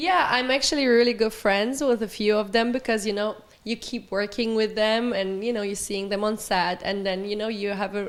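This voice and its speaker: Speaking at a moderate pace with hardly any pauses, a woman with an American accent and a fairly high pitch shows ordinary pitch variation over noticeable background noise. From Germany. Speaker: reality TV star and model. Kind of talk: interview.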